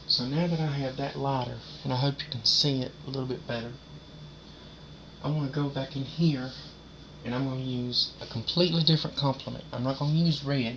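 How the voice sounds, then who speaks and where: Amid noticeable background noise, a man with a fairly high pitch speaks at a fairly quick pace in a monotone, flat intonation, leaving long, frequent pauses. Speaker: painter. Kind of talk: painting tutorial. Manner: casual.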